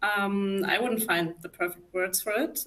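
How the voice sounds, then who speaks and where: A woman in a German accent speaks slowly-ish at a fairly slow pace, with a medium pitch and ordinary pitch variation. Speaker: psychologist. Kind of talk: live talk interview. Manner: hesitant, many fillers.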